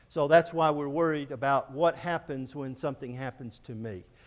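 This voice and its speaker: A man speaks at a moderate pace in a normal speaking voice. His pitch is fairly high with ordinary pitch variation. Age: 60s. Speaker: missionary. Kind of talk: church presentation.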